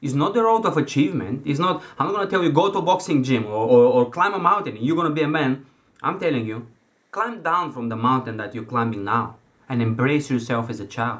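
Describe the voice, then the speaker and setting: A man with a non-native accent talks at a very fast pace. His fairly high pitch swings very widely. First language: not English. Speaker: self-help coach. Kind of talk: motivational talk. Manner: halting.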